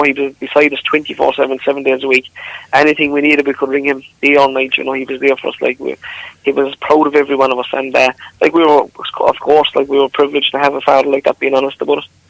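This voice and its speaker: In a dry, close recording with no echo, a man with a Limerick accent speaks very fast in a fairly high pitch, his intonation flat and monotone. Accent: Irish, Limerick. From Ireland, Newcastle West, County Limerick. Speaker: country singer. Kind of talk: radio interview.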